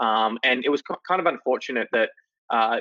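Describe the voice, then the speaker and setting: Moving at a fairly quick pace, a man speaks in an Australian accent. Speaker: company CEO. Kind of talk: interview. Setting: video call.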